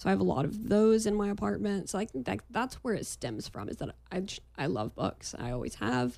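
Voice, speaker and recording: Talking at a fairly quick pace, a woman uses a very deep, low voice with vocal fry, a dark, mellow tone, and very wide pitch swings. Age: 20s. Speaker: marketing agency owner. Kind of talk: casual chat.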